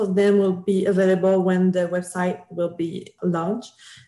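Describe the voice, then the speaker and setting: Against noticeable background noise, a woman speaks at a fairly slow pace with medium pitch. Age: 20s. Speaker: fan website creator. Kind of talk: casual chat.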